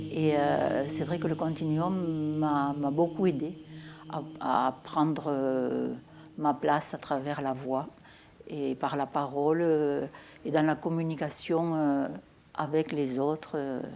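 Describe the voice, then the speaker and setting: Very deep and low, a woman's voice moves at a very slow pace in a monotone, flat line, broken by long, frequent pauses. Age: 70s. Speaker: somatic practice group participant. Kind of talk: interview testimony. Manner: halting, many hesitations.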